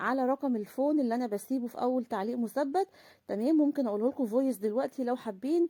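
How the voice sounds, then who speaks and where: A woman at a very fast pace, high-pitched, with a dark, mellow tone, in a dry, close sound with no echo. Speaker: charity vlogger. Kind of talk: casual vlog talk. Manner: halting.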